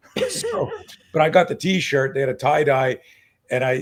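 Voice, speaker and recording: A man speaking at a fairly quick pace. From Canada. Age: 60s. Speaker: self-defense coach. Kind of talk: casual interview chat. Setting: live video stream. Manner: animated.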